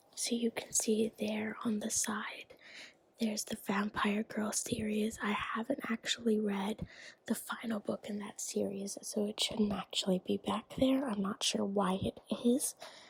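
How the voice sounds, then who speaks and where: Amid noticeable background noise, a soft-spoken voice whispers at a fairly slow pace. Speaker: student. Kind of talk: ASMR show-and-tell to camera. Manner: soft-spoken, whispered.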